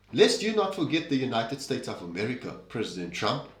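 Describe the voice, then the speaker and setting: Vocal fry runs through a man's medium-pitched voice. Audible room echo surrounds him. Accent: South African. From South Africa. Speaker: political commentary host. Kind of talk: opinion commentary monologue.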